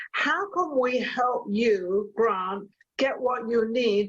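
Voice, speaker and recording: Speaking with a slight British accent, a woman uses a fairly high pitch with ordinary pitch variation. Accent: hints of British. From England, Torquay, Devon. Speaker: chat show host. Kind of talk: casual chat.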